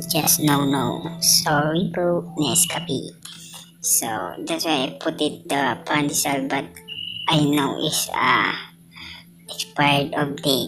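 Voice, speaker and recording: With music in the background and audible room echo, a woman with a Filipino accent speaks in a very deep, low pitch at a very slow pace, fairly even in intonation and with long, frequent pauses. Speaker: welding trainer and vlogger. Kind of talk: casual vlog. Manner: halting.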